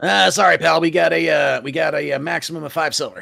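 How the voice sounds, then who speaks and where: A man's put-on character voice at a very fast pace. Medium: actual play. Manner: fast, hawking.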